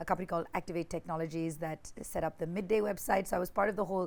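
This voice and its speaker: A woman with a fairly low pitch and fairly even intonation is heard on a very clean recording with a silent background. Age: 40s. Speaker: digital media entrepreneur and former radio DJ. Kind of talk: podcast interview.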